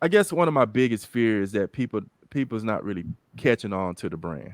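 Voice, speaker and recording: Using a plain, everyday voice, a man speaks at a fairly quick pace with a fairly low pitch and lively intonation. The sound is dry and close with no echo, and the background is quiet. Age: 50s. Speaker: fitness brand founder and talk show host. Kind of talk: casual chat.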